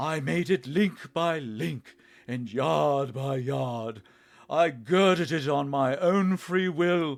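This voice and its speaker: A man's put-on character voice, fairly high, raised and projected, at a very slow pace on a very clean recording with a silent background. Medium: read story. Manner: solemn, grave.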